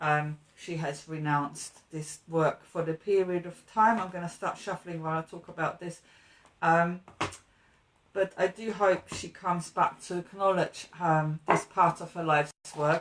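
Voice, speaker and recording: With a slight German accent, a woman speaks at a fairly slow pace and fairly low pitch, her intonation fairly even and her loudness swinging a lot. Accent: slight German accent, struggles with th sound. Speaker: tarot card reader. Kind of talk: tarot reading livestream. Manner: hesitant, many fillers.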